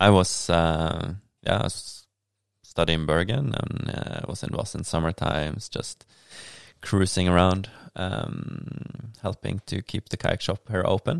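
A very deep, low-pitched man with a Norwegian accent at a fairly slow pace, ordinary pitch variation, and a dry, close sound with no echo. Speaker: kayaker and local politician. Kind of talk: casual interview chat. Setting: at his home.

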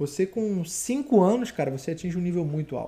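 His tone is dark and mellow, with a high pitch for a man. He speaks at a fairly slow pace with lively intonation. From Rio de Janeiro, Campo Grande (Zona Oeste). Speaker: MMA fighter. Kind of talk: casual interview. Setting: live podcast studio.

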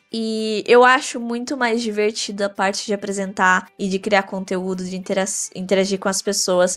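A woman at medium pitch with a plain, everyday voice, ordinary pitch variation and a moderate pace. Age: 20s. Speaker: medical student and gaming influencer. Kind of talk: interview.

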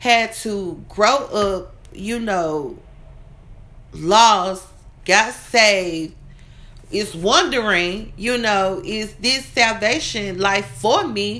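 In a bright, sharp tone, a woman speaks at a very slow pace and medium pitch with lively intonation. Audible room echo carries her voice. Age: 30s. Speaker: minister. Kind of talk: sermon.

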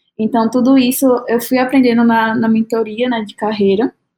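Her pitch is fairly high for a woman. She talks at a moderate pace in monotone, flat intonation. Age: 20s. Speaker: UX designer. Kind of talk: casual chat.

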